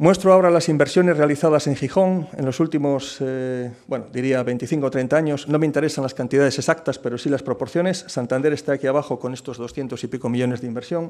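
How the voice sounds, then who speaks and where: A plain, everyday voice moves at a fairly quick pace with hardly any pauses. Its pitch variation is ordinary. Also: man, fairly high pitch for a man. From Cantabria, Spain. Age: 50s. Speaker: port authority president. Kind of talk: keynote talk and Q&A at business forum. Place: hall. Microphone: podium.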